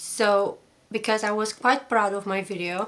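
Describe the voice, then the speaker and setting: A woman speaks with a non-native accent. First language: not English. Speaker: commentary YouTuber. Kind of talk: casual commentary to camera. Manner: fast.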